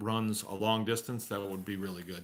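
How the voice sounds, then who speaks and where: The man's pitch is fairly low. His tone is bright and sharp. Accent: strong Massachusetts. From Massachusetts (Shrewsbury). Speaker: farmer. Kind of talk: live Q&A stream. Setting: at home by a wood stove. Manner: casual, conversational.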